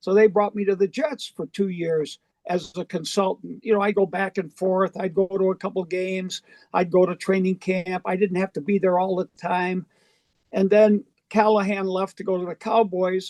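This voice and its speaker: Recorded dry and close with no echo, a man with an American accent and a high pitch speaks at a moderate pace with fairly even intonation. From western New York, Buffalo area. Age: 70s. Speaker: retired football coach. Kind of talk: interview. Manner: halting.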